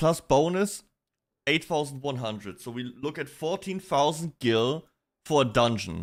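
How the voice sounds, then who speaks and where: Speaking at a fairly slow pace with a slight German accent, a man makes very wide pitch swings on a very clean recording with a silent background. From Germany. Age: 20s. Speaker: vtuber streamer. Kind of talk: casual livestream chat. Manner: casual, animated.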